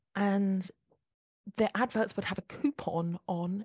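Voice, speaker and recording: Somewhat breathy, a woman's voice sits at medium pitch with ordinary pitch variation. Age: 40s. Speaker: eating psychology coach. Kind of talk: interview.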